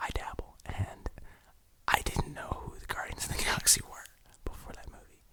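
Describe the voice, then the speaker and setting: A man whispers at a moderate pace. Noticeable background noise runs behind him. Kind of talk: ASMR whispered ramble to camera. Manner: whispered, soft, rambling.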